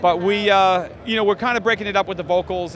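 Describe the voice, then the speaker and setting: A man with a Boston accent at a very fast pace amid noticeable background noise. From Massachusetts, north of Boston. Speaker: rock guitarist. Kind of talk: trade show interview. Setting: trade show floor. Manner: casual, with many fillers.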